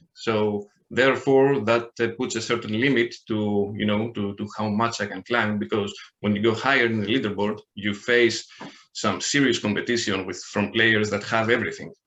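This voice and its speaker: A man's fairly low-pitched voice at a moderate pace, with fairly even intonation. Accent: Greek. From Greece. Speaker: online card game player. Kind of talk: podcast interview. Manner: halting, many fillers and repeats.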